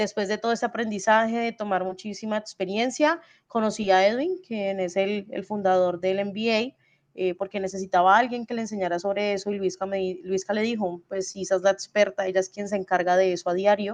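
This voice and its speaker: Fairly even intonation from a woman of medium pitch at a fairly quick pace. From Colombia, Cali. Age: 20s. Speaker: e-commerce logistics expert. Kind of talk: webinar talk. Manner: fast; halting, many fillers.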